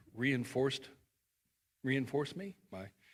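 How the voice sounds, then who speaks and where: Here a man speaks at a fairly slow pace with ordinary pitch variation. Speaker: pastor. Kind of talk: closing remarks and prayer. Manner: loud.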